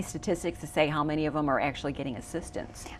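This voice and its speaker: A woman with a very deep, low voice talks, and the background is quiet. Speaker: TV show host. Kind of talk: TV interview. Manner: loud.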